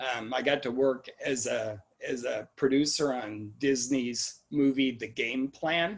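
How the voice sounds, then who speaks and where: A man's voice at a very slow pace, with ordinary pitch variation. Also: medium pitch for a man. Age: 60s. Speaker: museum executive director. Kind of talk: casual interview. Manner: halting.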